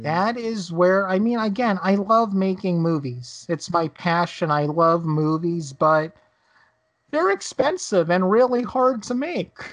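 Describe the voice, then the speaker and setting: A woman with a plain, everyday voice speaks at a medium pitch and a fairly slow pace, with lively intonation, over a quiet background. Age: 30s. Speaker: podcast host and filmmaker. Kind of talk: casual chat.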